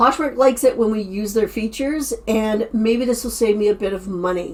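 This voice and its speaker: Speaking at a fairly slow pace, a woman uses an unremarkable speaking voice, fairly high in pitch with ordinary pitch variation. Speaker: online reseller and YouTuber. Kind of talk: casual vlog summary.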